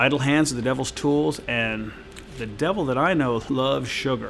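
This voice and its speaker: A man talks at a fairly quick pace with ordinary pitch variation, over light background noise. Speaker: fitness trainer. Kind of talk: direct-to-camera Q&A advice. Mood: relaxed, friendly. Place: gym.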